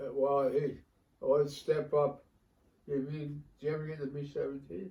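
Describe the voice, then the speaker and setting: A man with an American accent speaks at a moderate pace in a fairly high pitch. His intonation is monotone and flat, and his voice is somewhat breathy. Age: 80s+. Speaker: war veteran. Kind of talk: interview answer.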